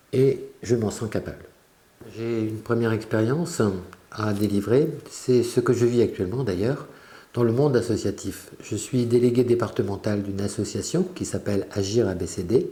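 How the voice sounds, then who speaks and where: This man has a normal speaking voice at a medium pitch. He moves at a moderate pace with ordinary pitch variation. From France, Brittany (Quiberon). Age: 60s. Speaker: local election candidate. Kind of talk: campaign statement. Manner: formal.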